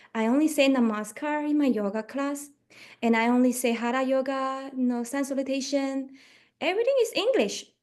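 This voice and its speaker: A woman with a high pitch and a Chinese accent, at a moderate pace. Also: ordinary pitch variation. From Malaysia. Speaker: yoga teacher. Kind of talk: radio interview.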